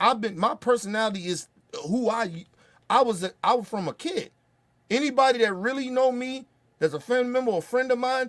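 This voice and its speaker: The delivery is animated and fairly quick, with ordinary pitch variation. Long, frequent pauses break it up. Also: man, extremely high pitch for a man. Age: 30s. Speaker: political commentary streamer. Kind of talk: livestream rant.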